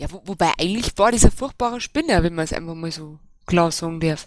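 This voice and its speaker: A woman with a plain, everyday voice, a fairly quick pace and lively intonation. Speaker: local party official. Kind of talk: casual panel discussion. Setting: voice chat online.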